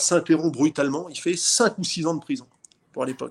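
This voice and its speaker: Against a quiet background comes an ordinary speaking voice with ordinary pitch variation. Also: man. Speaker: boxing promoter. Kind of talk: casual interview.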